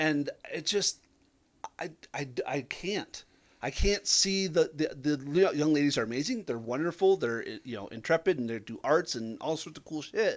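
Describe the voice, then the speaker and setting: In an ordinary speaking voice, a man talks at a moderate pace and a fairly high pitch, with lively intonation and big swings in loudness, on a very clean recording with a silent background. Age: 30s. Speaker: tabletop game player. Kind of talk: casual chat.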